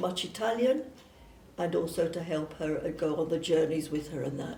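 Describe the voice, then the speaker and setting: Recorded with audible room echo, a woman with a southern English accent talks with ordinary pitch variation. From southern England (Surrey). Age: 80s+. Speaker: missionary nun. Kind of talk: personal testimony. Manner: hesitant, with fillers.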